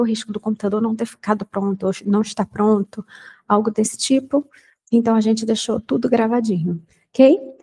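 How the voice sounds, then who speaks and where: Somewhat breathy and dark, mellow in tone, a woman's fairly high voice comes through with a dry, close sound and no echo. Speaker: English teacher. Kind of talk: lecture. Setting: recorded online class.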